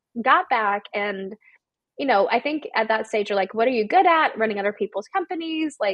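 A woman with a fairly high pitch and lively intonation speaks in a normal speaking voice with an American accent. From US South, Georgia small town. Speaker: education company CEO. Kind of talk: interview. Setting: grandmother's house.

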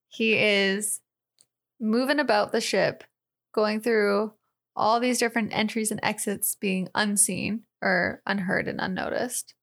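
In a very clean recording with a silent background, a woman speaks in a normal speaking voice, fairly high in pitch, at a fairly slow pace with fairly even intonation. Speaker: podcast co-host. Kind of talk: casual chat.

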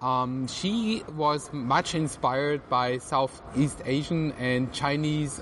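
A fairly high-pitched man with ordinary pitch variation over noticeable background noise. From southern Germany (Swabia, Tübingen). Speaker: animator. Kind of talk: interview. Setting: outdoor venue on artificial grass.

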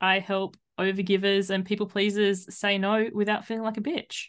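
Against a quiet background, the speaker talks at a moderate pace with an Australian accent. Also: woman. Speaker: life coach and podcaster. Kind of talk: casual interview chat.

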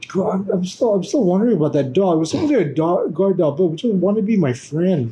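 A man talks at a very fast pace in a high pitch, his voice swinging very widely up and down. Noticeable background noise is present. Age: 20s. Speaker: podcast guest, photographer and performer. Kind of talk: casual chat.

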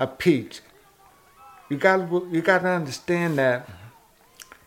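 There is noticeable background noise as a man with an American accent speaks. He goes at a very slow pace with lively intonation. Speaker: former small-town mayor. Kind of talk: interview.

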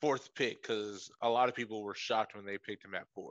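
In a plain, everyday voice, a man speaks at medium pitch with fairly even intonation, the sound dry and close with no echo. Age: 20s. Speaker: sports podcast co-host. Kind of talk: casual chat.

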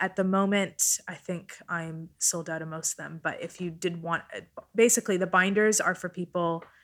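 Speaking at a moderate pace with a Canadian accent, a woman with a fairly low voice keeps her intonation monotone and flat. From Vancouver, Canada. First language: Italian. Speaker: founder of a fashion outreach organization. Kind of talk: casual interview chat.

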